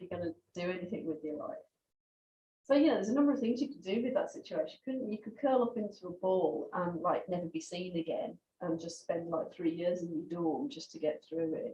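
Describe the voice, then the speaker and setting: A woman with a Brummie accent talks at a fairly quick pace in a medium-pitched, dark, mellow, somewhat breathy voice, with lively intonation and big swings in loudness. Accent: Brummie accent, kept. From Birmingham, England. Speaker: journalist. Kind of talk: memorial talk. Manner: hesitant, many fillers.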